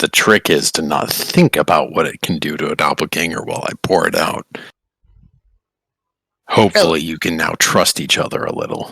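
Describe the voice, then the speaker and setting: A man's put-on character voice, raspy and very deep in pitch, at a moderate pace with long, frequent pauses. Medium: actual play. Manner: dry, world-weary, blunt.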